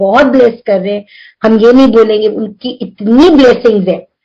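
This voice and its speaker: A woman's voice with ordinary pitch variation. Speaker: devotee sharing experiences. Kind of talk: spiritual testimony. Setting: video call.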